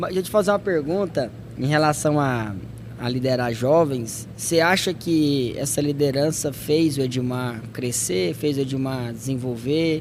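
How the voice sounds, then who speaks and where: A man talks at a fairly slow pace with ordinary pitch variation. Audible room echo and noticeable background noise fill the recording. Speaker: podcast host. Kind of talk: casual chat.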